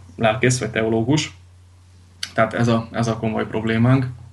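A man speaks at medium pitch and a moderate pace in a monotone, flat way. Audible room echo surrounds his voice. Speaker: Lutheran pastor. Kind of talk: radio interview. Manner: halting, many repetitions and fillers.

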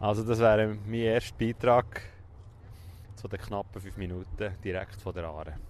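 A man with a fairly low voice speaks at a moderate pace with fairly even intonation, big swings in loudness, and long, frequent pauses. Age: 40s. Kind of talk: casual chat. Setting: outdoors by a river.

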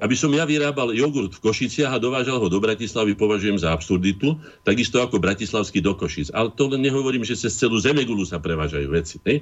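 A man with a medium-pitched voice speaks very fast with lively intonation. He hardly pauses at all. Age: 60s. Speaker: painter and association chairman. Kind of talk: radio interview. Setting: remote call into radio studio.

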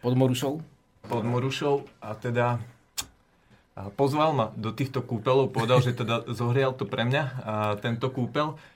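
A somewhat breathy man speaks at a moderate pace and medium pitch, with fairly even intonation and long, frequent pauses. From Slovakia, Žilina. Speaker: apprentice farmer. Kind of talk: interview.

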